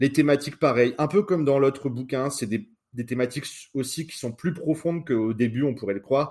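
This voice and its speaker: At a fairly quick pace, a man with a plain, everyday voice speaks at a medium pitch with ordinary pitch variation, in a very clean recording with a silent background. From northern France. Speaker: podcast co-host. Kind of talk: casual chat.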